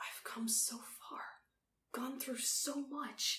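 A woman whispers in a put-on character voice. Her pace is slow.

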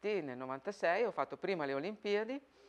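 A woman at a moderate pace with ordinary pitch variation, against a quiet background. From northern Italy, Verona; northern Italy. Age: 50s. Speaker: Paralympic archer. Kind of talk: interview testimony; interview answer. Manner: hesitant repetitions. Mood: calm, reflective.

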